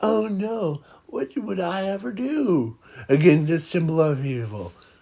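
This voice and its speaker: Doing a put-on character voice, a man talks fairly slowly at a fairly high pitch, with very wide pitch swings. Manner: sarcastic, mocking; feigned fear.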